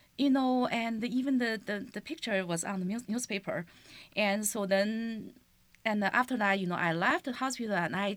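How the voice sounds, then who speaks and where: A woman's fairly high voice with a Chinese accent, ordinary pitch variation and a moderate pace, on a very clean recording with a silent background. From China. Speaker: teacher and community leader. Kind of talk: interview. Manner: halting.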